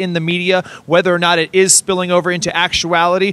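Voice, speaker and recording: Loud and animated, a man talks at a very fast pace in a high pitch. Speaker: street interview host. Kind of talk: street interview. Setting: outdoors.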